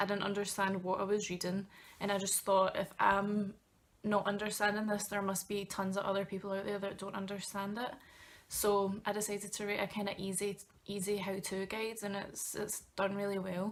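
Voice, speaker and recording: A woman speaks at a medium pitch. Her pace is fairly quick. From Scotland, Glasgow. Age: 20s. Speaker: travel blogger and student. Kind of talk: vlog tutorial. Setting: bedroom, talking to camera. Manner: casual, with many fillers.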